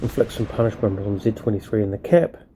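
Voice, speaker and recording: A man's fairly low-pitched voice with a dark, mellow tone and ordinary pitch variation. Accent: New Zealand. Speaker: gaming video creator. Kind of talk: gameplay commentary. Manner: casual, many filler words.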